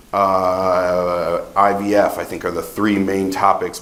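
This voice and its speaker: A man speaks loudly with an American accent. The room has an audible echo. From Ohio, US Midwest. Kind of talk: conference talk.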